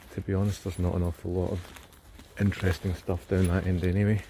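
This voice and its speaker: Over noticeable background noise, a man with a Scottish accent talks at a very fast pace in a very deep, low pitch with monotone, flat intonation. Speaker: outdoor vlogger, cryptid enthusiast. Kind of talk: casual walking vlog narration. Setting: outdoors in woodland.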